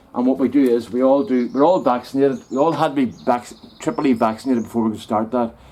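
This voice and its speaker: A man talks at a very fast pace with a Northern Irish accent. His pitch is medium, with ordinary pitch variation. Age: 60s. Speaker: hobby gardener and woodturner vlogger. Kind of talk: casual vlog chat. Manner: halting.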